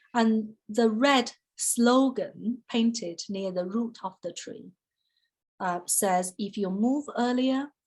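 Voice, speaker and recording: Somewhat breathy, a woman with a Chinese accent speaks at fairly high pitch with ordinary pitch variation. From China. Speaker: photographer, artist. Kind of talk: artist talk interview. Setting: online video call. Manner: conversational with many fillers.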